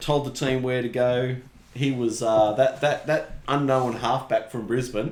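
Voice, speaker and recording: An Australian accent marks this man's speech, delivered at a fairly slow pace in a medium pitch. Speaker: rugby league podcast co-host. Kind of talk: casual chat. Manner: animated.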